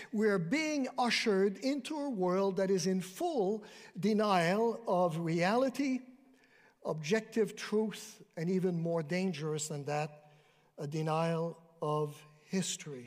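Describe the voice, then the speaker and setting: Lively intonation marks this man's high-pitched voice. He speaks at a fairly slow pace. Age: 60s. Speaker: retired Bible professor. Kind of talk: sermon. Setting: church with congregation.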